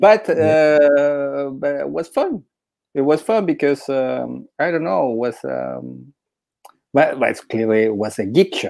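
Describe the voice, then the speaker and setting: In a quiet background, a man speaks at a very slow pace. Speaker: podcast host and interviewer; podcast host, interviewer. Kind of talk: casual interview. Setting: live stream video call. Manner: halting, many repetitions and fillers. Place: home room. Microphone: earbuds.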